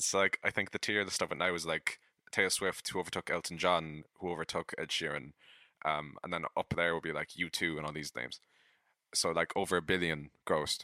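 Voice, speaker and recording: A man with an Irish accent, very deep, low pitch, bright, sharp tone, monotone, flat intonation and a fairly quick pace, in a dry, close sound with no echo. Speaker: podcast co-host and musician. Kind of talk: casual chat. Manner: halting.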